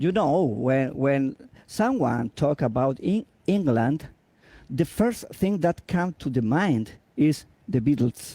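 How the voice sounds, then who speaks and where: Speaking very slowly with a Spanish accent, a man with a fairly high pitch and a dark, mellow tone uses lively intonation and very even loudness in a dry, close sound with no echo. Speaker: interviewer, guitarist. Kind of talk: interview. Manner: halting.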